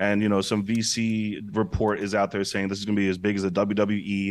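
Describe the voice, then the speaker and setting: A man with a fairly low pitch, an ordinary speaking voice and an American accent, talking at a fairly quick pace, in a very clean recording with a silent background. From Brooklyn, New York. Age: 40s. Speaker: entrepreneur. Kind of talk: interview.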